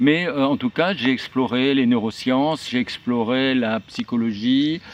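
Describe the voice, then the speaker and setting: A man talks at a fairly slow pace. Noticeable background noise accompanies him. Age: 60s. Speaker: journalist and writer. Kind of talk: video channel introduction. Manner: halting, many hesitations.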